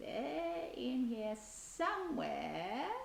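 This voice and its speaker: A woman's put-on character voice over clear background noise. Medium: read story. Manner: low, muttering.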